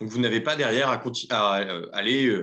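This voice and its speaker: Ordinary pitch variation marks this man's fairly quick delivery. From Aisne, northern France. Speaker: entrepreneur. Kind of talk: workshop introduction round. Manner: hesitant, many fillers.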